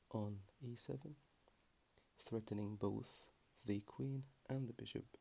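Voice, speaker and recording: A man's somewhat breathy voice carries a dark, mellow tone and fairly even intonation. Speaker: chess player. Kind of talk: ASMR chess lesson. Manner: calm, relaxed.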